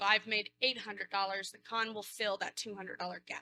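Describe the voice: A woman's bright, sharp tone at medium pitch, with little pitch movement and a dry, close sound with no echo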